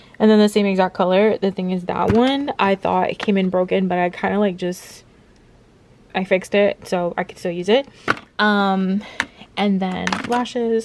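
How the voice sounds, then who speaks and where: Here a woman speaks at a medium pitch. There is noticeable background noise. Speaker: lifestyle vlogger. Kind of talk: casual vlog talk to camera. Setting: at home.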